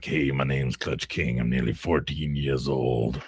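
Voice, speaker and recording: A man's put-on character voice, very deep and low, monotone and flat in intonation, at a moderate pace. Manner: deep, manly.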